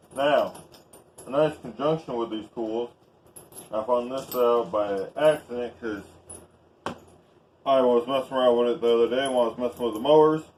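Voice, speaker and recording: With a Southern US accent, a man talks in fairly even intonation, leaving long, frequent pauses. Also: medium pitch for a man, moderate pace. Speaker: YouTuber reviewing tools. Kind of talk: casual vlog tool review.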